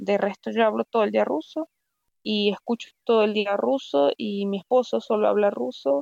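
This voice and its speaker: A woman's dark, mellow voice at a medium pitch and moderate pace, with very wide pitch swings and a dry, close sound with no echo. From Venezuela, Valera (Andes). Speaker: doctor, plastic surgery resident. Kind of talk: interview conversation. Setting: remote call.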